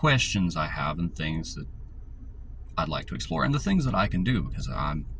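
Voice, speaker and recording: A man with lively intonation, amid noticeable background noise and audible room echo. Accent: Southern US. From US South, rural north Georgia mountains. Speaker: YouTuber. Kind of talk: casual monologue. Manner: casual, filler-heavy.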